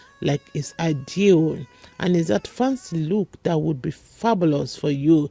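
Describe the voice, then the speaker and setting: With music in the background, a woman talks at a fairly slow pace with lively intonation. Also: fairly low pitch for a woman, dry, close sound with no echo. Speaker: beauty vlogger. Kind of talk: product review vlog.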